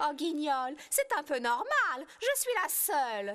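A female-sounding, cartoonish character voice is pitched high and moves at a fairly slow pace. Light background noise sits behind it. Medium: puppet.

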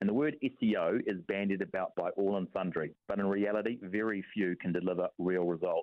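The background is quiet, and the sound is dry with no echo. A man speaks at a moderate pace. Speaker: radio guest. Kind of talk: interview answer. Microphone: phone line.

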